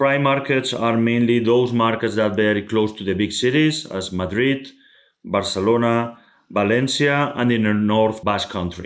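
This man speaks with a Spanish accent at a medium pitch. His pace is moderate and his pitch variation ordinary. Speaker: logistics real estate executive. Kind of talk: interview. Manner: halting.

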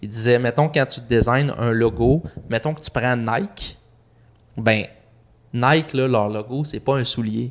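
Medium in pitch with ordinary variation, a man speaks at a fairly slow pace. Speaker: podcast host. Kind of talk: casual chat.

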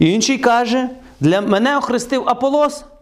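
With noticeable background noise behind him, a man speaks at an extremely high pitch and moderate pace, his tone animated and his pitch variation ordinary. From western Ukraine, Truskavets. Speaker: preacher. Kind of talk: sermon.

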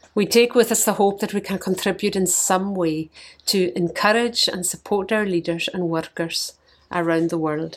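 A woman's medium-pitched voice in a Scottish accent, at a moderate pace with fairly even intonation. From Scotland. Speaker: missionary leader. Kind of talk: scripted devotional message.

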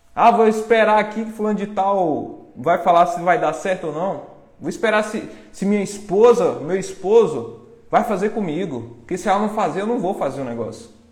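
Beneath noticeable background noise, a man with a high pitch and lively intonation talks at a moderate pace. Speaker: online marketing course seller. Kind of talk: live-stream pep talk. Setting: live stream. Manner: urgent, confrontational, motivational.

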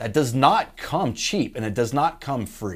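A man speaks at a moderate pace in an unremarkable speaking voice, pitched in the middle range. His intonation is lively. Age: 30s. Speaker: business owner and show host. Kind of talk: casual advice talk. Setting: live stream.

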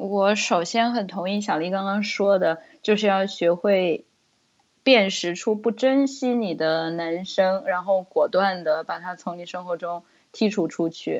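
The delivery is a plain, everyday voice at a fairly slow pace with ordinary pitch variation. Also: woman, medium pitch for a woman. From China. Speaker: guest. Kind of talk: casual chat.

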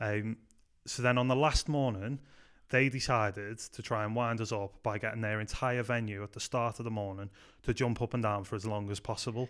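In a very clean recording with a silent background, a man with a Liverpool accent talks at a medium pitch with fairly even intonation. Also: fairly quick pace. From Liverpool, England. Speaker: youth pastor. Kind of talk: casual chat.

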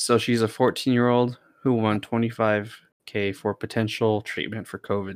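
A man's medium-pitched voice in a flat monotone at a moderate pace, on a very clean recording with a silent background. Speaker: podcast host. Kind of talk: casual chat. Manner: joking, laughs often.

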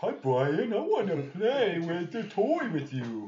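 A man's put-on character voice, high-pitched and fairly slow. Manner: eager, playful.

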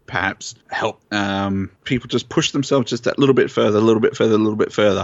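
This man has a fairly low pitch, an Australian accent and ordinary pitch variation. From Australia, southeast Queensland. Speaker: tournament organizer. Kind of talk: casual chat.

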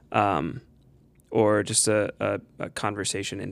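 On a very clean recording with a silent background, a man with an American accent talks at a fairly low pitch in a monotone, flat way. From Perrysburg, Ohio. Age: 30s. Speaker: church music director. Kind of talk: casual chat.

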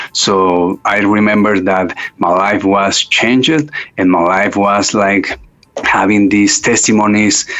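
Male voice with a Spanish accent, fairly low in pitch, very slow, with fairly even intonation and very even loudness. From Mexico City, Mexico. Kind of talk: interview testimony.

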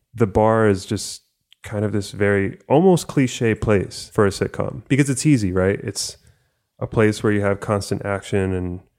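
This is a man with an American accent and a normal speaking voice. He keeps a moderate pace and fairly even intonation on a very clean recording with a silent background. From US, first-generation Cuban American. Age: 20s. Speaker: podcast co-host. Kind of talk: casual chat.

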